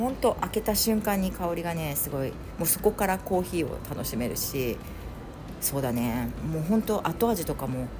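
Audible room echo surrounds a woman speaking at a moderate pace. Her fairly low pitch makes very wide swings. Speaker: podcast host. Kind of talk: casual solo chat. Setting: at home, moving between rooms. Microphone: room echo on voice.

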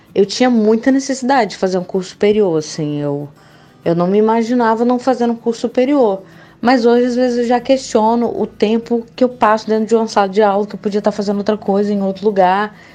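Over background music, a woman with a fairly high pitch talks at a fairly quick pace with ordinary pitch variation. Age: 20s. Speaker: advertising student. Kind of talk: casual interview.

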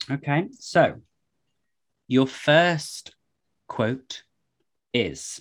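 A man speaks at a medium pitch with vocal fry. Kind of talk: casual chat.

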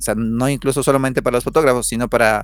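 Fairly quick, fairly even speech from a man at a medium pitch. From Ecuador, Otavalo. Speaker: photographer. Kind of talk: casual interview chat. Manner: halting, with many fillers and repeated words.

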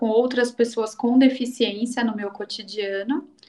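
The speaker is a woman whose voice sits at a fairly high pitch. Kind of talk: interview. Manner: hesitant, many filler sounds.

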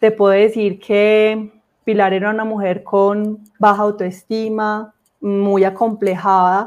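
A woman speaks at a medium pitch and a very slow pace. Her intonation is flat and monotone. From Colombia, Armenia (Quindío), coffee region. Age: 30s. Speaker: guest giving religious testimony. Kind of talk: faith testimony interview. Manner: hesitant fillers and repetitions.

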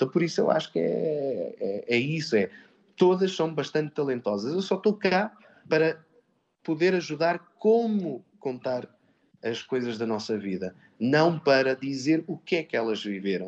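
Against a quiet background, a man with a fairly high voice talks fairly slowly, his pitch swinging very widely. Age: 30s. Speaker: actor and drama teacher. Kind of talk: radio interview. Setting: live broadcast from a theatre workshop. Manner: halting, many repetitions.

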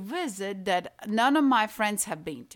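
A woman's fairly high voice with lively intonation and a Latvian accent, in a very clean recording with a silent background. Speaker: painter. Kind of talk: interview. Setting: in her home. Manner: halting.

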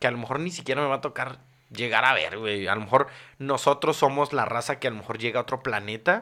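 The man talks at a moderate pace on a very clean recording with a silent background. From Mexico City. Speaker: content creator. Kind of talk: casual chat. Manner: halting.

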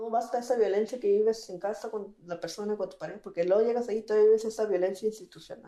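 With music playing in the background, the speaker rushes at a very fast pace with hardly any pauses, fairly even intonation and big swings in loudness. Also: woman, fairly high pitch for a woman. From Mexico, Baja California (Mixtec family from Guerrero). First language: Mixtec (Tu'un Savi) (speaking Spanish). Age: 20s. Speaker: interpreter and community activist. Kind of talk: interview testimony.

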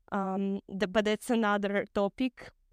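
A woman with a non-native accent speaks at a fairly slow pace in a monotone, flat intonation. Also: dry, close sound with no echo. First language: not English. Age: 20s. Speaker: podcast host. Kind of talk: casual solo podcast monologue. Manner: laughs often, relaxed, somewhat halting.

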